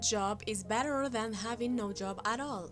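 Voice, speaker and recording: Behind a woman's voice, music plays. She keeps a fairly slow pace. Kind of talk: documentary-style fact narration.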